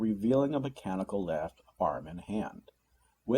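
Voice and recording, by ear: Lively intonation in a natural voice reading aloud, the background quiet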